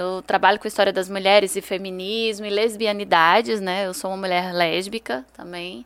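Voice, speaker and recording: A woman talks in an unremarkable speaking voice. Her pace is moderate and her pitch variation ordinary. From Brazil, Ceará (Juazeiro do Norte). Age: 30s. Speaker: historian and writer. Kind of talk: interview.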